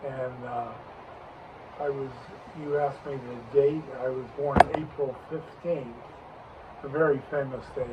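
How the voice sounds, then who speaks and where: A man's fairly high-pitched voice at a fairly slow pace, in a flat monotone, with noticeable background noise. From Long Island, New York. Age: 80s+. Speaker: grandfather interviewee. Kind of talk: family interview.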